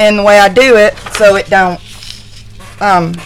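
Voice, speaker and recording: A woman is heard with noticeable background noise. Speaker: crafter. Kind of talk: live stream tutorial. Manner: halting; soft-spoken.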